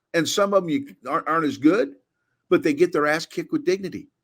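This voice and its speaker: This man talks at a very fast pace in a high, animated voice with ordinary pitch variation. The recording is very clean against a silent background. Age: 60s. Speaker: former football offensive coordinator, film analyst. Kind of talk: casual film breakdown chat.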